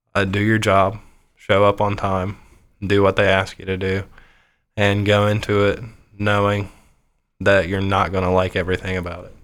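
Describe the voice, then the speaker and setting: A man with an American accent, fairly low and monotone, at a moderate pace with long, frequent pauses, on a very clean recording with a silent background. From Ohio. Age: 30s. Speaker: IT technician. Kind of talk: interview.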